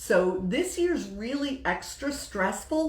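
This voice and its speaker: Very wide pitch swings stand out against audible room echo and noticeable background noise. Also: woman. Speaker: women's group host. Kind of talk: Facebook live talk. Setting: livestream. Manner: casual.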